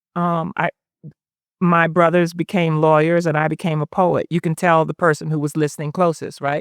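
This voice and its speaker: A woman's monotone, flat delivery in a Southern US accent, dry and close with no echo. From US South, South Carolina (Sumter). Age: 60s. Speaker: poet. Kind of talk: onstage interview. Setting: live event with audience.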